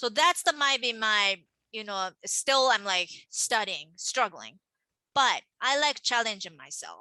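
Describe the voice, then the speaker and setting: A woman with a Japanese accent speaks at a fairly slow pace. Her tone is bright and sharp, with very wide pitch swings. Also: dry, close sound with no echo. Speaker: manga artist. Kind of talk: casual chat. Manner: animated.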